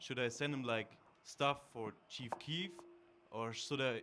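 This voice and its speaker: A man with a German accent and a medium pitch speaks at a fairly slow pace with fairly even intonation. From Germany. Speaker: audience member, beatmaker. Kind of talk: audience question. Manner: halting.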